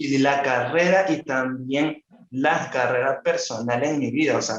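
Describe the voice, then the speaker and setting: A man's fairly high voice at a very slow pace, with fairly even intonation and a Venezuelan accent. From Barquisimeto, Venezuela. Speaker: illustrator and writer. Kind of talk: interview answer.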